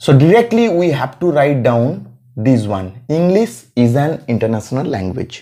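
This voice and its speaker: With a Bengali accent, a man speaks at a fairly slow pace in a fairly high pitch, using a dark, mellow tone and very wide pitch swings. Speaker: English teacher. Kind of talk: grammar tutorial. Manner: repetitive, self-correcting.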